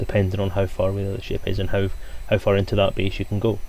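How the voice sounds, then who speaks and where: Somewhat breathy, a man's voice keeps a fairly even intonation. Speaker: tabletop game designer and streamer. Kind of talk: live stream update. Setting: live broadcast. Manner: hesitant, filler words.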